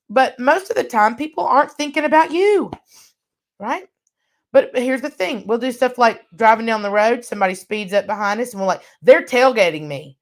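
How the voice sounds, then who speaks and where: A woman speaks loudly at a fairly quick pace, her high voice making very wide pitch swings. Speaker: workshop trainer. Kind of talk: online workshop lecture.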